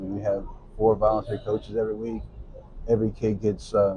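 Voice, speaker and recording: A man speaking at a fairly quick pace. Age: 60s. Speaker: youth bowling coach. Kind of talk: interview. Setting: in-person at a bowling center.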